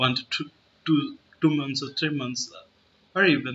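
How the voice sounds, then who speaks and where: With an Indian accent, a man speaks with fairly even intonation. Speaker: chess YouTuber. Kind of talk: casual vlog monologue. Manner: halting, many fillers.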